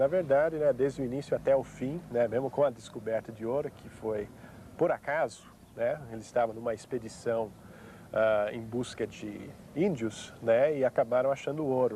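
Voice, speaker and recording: A man speaks in a dark, mellow tone with a slight non-native accent. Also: big swings in loudness. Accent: slight English-speaking accent in Portuguese. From United States. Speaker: historian. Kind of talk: TV interview. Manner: hesitant, many fillers.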